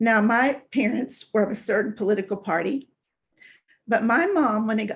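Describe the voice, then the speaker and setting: With an American accent, a woman speaks at a moderate pace in a fairly high, somewhat breathy voice. Her pitch varies in an ordinary way. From US South, Tennessee. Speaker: brain health fitness instructor. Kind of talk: casual talk to camera.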